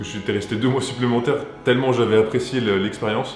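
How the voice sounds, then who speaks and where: Music plays in the background behind a man's voice. He has a medium pitch and an enthusiastic tone. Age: 20s. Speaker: video director. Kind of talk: casual talk to camera.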